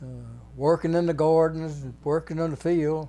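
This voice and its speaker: An American-accented man has a fairly high pitch and a dark, mellow tone. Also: very clean recording, silent background. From Texas, Buda. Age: 90s. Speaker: retired fireman and grocery store operator. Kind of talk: oral history interview answer.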